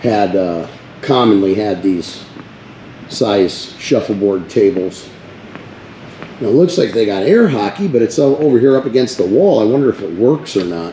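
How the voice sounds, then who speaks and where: With lively intonation and long, frequent pauses, a man speaks at a moderate pace against noticeable background noise. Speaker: first amendment auditor. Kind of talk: casual vlog narration. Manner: loud.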